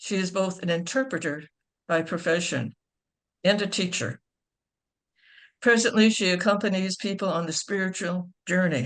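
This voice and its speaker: In a quiet background, a woman with an American accent speaks at a moderate pace and medium pitch. Her pitch varies in an ordinary way, and she takes long, frequent pauses. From Chicago, US. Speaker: nun introducing speakers. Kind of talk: speaker introductions. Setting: video call.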